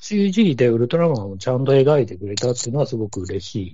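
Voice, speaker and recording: A man talks at a medium pitch, somewhat breathy. His pitch swings very widely. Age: 40s. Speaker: podcast guest, film fan. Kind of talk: casual chat.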